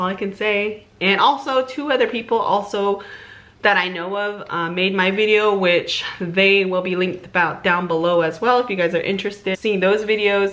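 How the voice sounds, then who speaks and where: With noticeable background noise behind her, a woman speaks at a moderate pace and medium pitch with ordinary pitch variation. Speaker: YouTuber. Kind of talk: live reaction video. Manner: casual, chatty.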